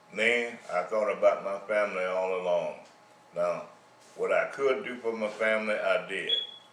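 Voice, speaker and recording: Moderately paced male speech amid noticeable background noise, with audible echo from the room. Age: 80s+. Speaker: retiree sharing life advice. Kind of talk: monologue.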